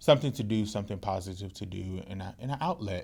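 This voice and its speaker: In a Mississippi accent, a man with a fairly low pitch and a dark, mellow tone speaks at a fairly quick pace on a very clean recording with a silent background. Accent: US Southern, Mississippi. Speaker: podcast co-host and community organizer. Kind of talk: casual chat. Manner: frequent um fillers.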